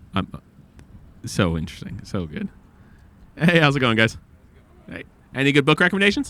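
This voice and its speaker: A man with a bright, sharp tone, fairly high pitch, vocal fry and very wide pitch swings, at a fairly quick pace broken by long, frequent pauses. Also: big swings in loudness. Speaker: podcast host asking strangers for book recommendations. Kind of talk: casual street podcast monologue. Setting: outdoors on the street. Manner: casual, rambling with fillers.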